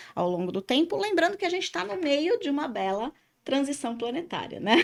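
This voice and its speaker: Over a very clean recording with a silent background, a woman sounds animated, her pitch swinging very widely. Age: 50s. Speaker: podcast host and spiritual therapist. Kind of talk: casual podcast chat. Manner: talkative, animated.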